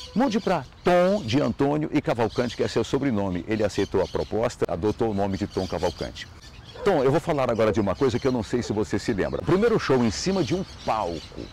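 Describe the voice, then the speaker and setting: A man's fairly quick delivery with very wide pitch swings, a dry sound with no echo, and light background noise. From Ceará, northeast Brazil. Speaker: radio presenter. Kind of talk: recorded video testimony. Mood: warm, nostalgic, amused. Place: garden.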